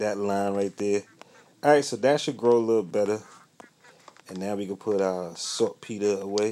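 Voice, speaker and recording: The voice has a dark, mellow tone and ordinary pitch variation. It moves at a moderate pace with long, frequent pauses. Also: man. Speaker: gaming YouTuber. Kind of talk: casual gameplay commentary. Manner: casual, upbeat.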